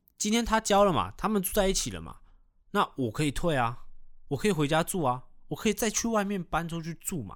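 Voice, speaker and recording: A man's high voice at a fairly quick pace on a very clean recording with a silent background. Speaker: podcast co-host. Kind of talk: product endorsement; casual chat. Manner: low-key.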